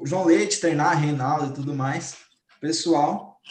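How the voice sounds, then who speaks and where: Using a normal speaking voice, a man talks with fairly high pitch and fairly even intonation. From Brazil, Cuiabá. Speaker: football fan panelist. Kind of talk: casual chat.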